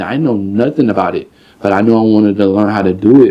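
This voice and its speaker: A man with an unremarkable speaking voice, medium pitch and ordinary pitch variation, at a fairly quick pace. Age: 20s. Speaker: rapper. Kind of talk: interview. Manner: casual, filler-heavy.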